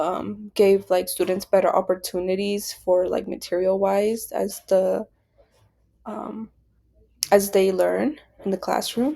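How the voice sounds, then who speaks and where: Here a woman speaks at a very slow pace. Her voice has a dark, mellow tone at medium pitch. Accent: Spanish. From Nebraska, US. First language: Spanish. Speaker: education student. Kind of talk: class presentation. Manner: hesitant, many fillers.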